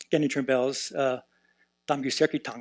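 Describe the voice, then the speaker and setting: A man speaks in an unremarkable speaking voice at a medium pitch, his intonation fairly even and the sound dry and close with no echo. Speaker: professor of Tibetan Buddhism, translator. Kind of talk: conference panel talk. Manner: many filler words (uh, um).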